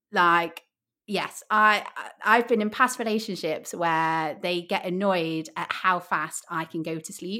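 Bright and sharp, a woman speaks with an English Midlands accent. The recording is very clean, its background silent. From Midlands, England. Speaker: podcast host. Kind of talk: casual chat. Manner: animated.

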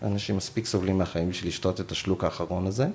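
A man talks while noticeable background noise continues behind him. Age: 40s. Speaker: end-of-life companion for assisted dying. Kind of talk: interview.

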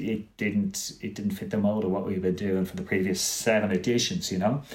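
Delivered at a fairly quick pace with a Dublin accent, the speech has lively intonation. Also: man. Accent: Dublin Irish. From Ireland, Dublin. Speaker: film festival director and programmer. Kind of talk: casual interview.

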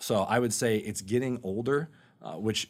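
A man with an American accent and a plain, everyday voice talks at a moderate pace with fairly even intonation. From Florida, Orlando area (Sanford). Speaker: real estate lending manager. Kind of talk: interview on personal finance. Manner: casual, filler-heavy.

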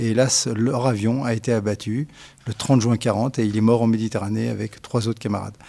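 A man's medium-pitched voice, dark and mellow in tone, with fairly even intonation at a moderate pace. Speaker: retired army general. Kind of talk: interview testimony. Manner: hesitant, with fillers and repetitions.

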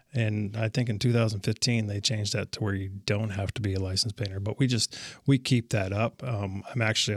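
A man speaks at a fairly quick pace in a fairly low, somewhat breathy voice with fairly even intonation. The sound is dry and close with no echo, and the recording is very clean against a silent background. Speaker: painting contractor. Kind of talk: interview. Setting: studio.

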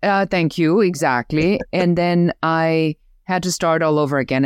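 A woman with a German accent speaks at a very deep, low pitch. The sound is dry and close with no echo, on a very clean recording with a silent background. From Germany. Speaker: business growth coach. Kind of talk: interview, casual conversation.

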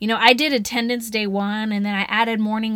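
Speaking at a fairly quick pace with a Southern US accent, a woman sounds animated at a fairly high pitch. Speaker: educator podcast host, former teacher. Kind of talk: solo podcast monologue. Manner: fast.

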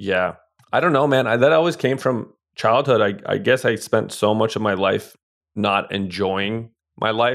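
At a moderate pace, a man speaks at medium pitch in an unremarkable speaking voice. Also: ordinary pitch variation, very even loudness. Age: 30s. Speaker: real estate investor, former professional poker player. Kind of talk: interview conversation.

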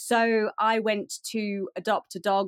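This is a woman with a British accent. The recording is very clean, with a silent background. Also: dry, close sound with no echo. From UK. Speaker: pet photographer. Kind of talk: interview.

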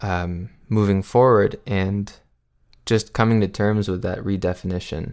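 Here a man speaks very slowly with fairly even intonation and a fairly low pitch. The recording is very clean and the background silent. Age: 20s. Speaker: singer-songwriter. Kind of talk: interview.

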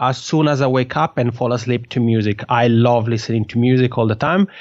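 Medium in pitch with ordinary pitch variation, a man speaks in an Italian accent with an enthusiastic tone. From Italian-speaking Switzerland. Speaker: podcaster and podcasting coach. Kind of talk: interview.

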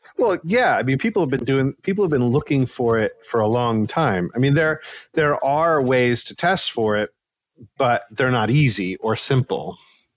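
Speaking at a moderate pace, a man with a plain, everyday voice uses medium pitch and lively intonation at very even loudness. The recording is very clean, with a silent background. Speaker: sleep scientist. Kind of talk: casual interview.

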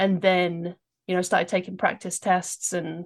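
A woman's fairly low, flat monotone with vocal fry, at a fairly slow pace against a quiet background. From England, London. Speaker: medical student, former soccer coach. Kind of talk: interview.

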